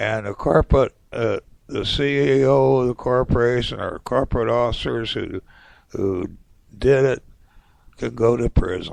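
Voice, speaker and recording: Speaking at a fairly slow pace, a man with an American accent is heard in a dry, close sound with no echo. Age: 60s. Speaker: political commentator podcaster. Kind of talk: opinion monologue. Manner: animated.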